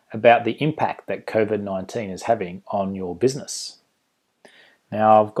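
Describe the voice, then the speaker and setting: Delivered at an even, middling tempo, the speech sits on a very clean recording with a silent background. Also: man. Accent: Australian. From Australia. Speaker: conference presenter, management consultant. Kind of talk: casual, friendly presentation.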